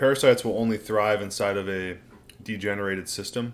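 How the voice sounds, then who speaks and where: A man speaks at a fairly quick pace in a fairly low pitch, with a plain, everyday voice. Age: 60s. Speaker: diet and health channel host. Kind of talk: livestream Q&A reading chat. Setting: livestream at home. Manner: casual.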